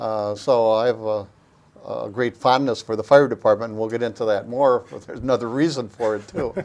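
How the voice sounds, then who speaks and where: A man with an Upper Midwest accent talks at a fairly quick pace and medium pitch, with fairly even intonation and big swings in loudness. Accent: Upper Midwest (Wisconsin). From US Midwest, Oshkosh, Wisconsin. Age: 70s. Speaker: local historian and former city council member. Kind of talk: interview.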